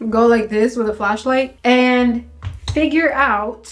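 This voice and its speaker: Fairly even intonation at a fairly slow pace. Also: woman. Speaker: beauty vlogger. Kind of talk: casual makeup tutorial chat. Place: bathroom. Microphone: phone near.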